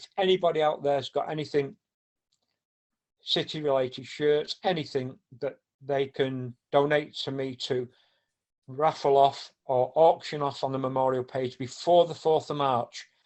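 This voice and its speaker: A man with a Mancunian accent talks at a moderate pace in a fairly high pitch, his intonation fairly even. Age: 60s. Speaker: football supporter and charity organiser. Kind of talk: casual chat. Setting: podcast.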